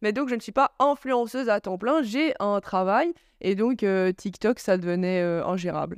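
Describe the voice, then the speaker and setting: A woman with an unremarkable speaking voice and medium pitch talks at a fairly slow pace with lively intonation, the sound dry and close with no echo over a quiet background. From Belgium, Charleroi. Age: 20s. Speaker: influencer and blogger. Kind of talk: casual interview.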